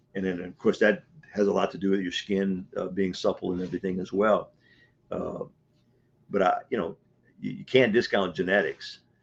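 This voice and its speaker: With a Louisiana accent, a man speaks at a moderate pace over a quiet background. He leaves long, frequent pauses. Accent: Southern US, Louisiana. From US South, Louisiana. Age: 70s. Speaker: martial arts coach. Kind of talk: interview. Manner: hesitant, repeats words.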